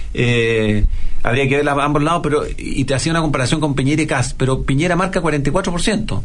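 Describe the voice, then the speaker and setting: A man's fairly high voice at a moderate pace, very even in loudness with ordinary pitch variation, amid audible room echo and noticeable background noise. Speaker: radio host. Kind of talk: casual chat.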